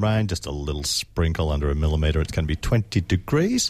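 Somewhat breathy, a man speaks with an Australian accent and lively intonation. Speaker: radio host. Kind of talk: casual radio chat. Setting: studio.

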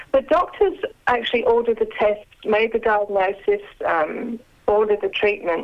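Moderate pace, fairly high pitch, and an ordinary speaking voice from a woman. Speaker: author and former nurse. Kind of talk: casual interview.

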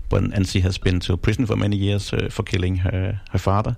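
In a Danish accent, a man speaks with a very deep, low pitch and a dark, mellow tone. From Denmark. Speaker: crime novelist. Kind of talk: interview. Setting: studio. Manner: halting.

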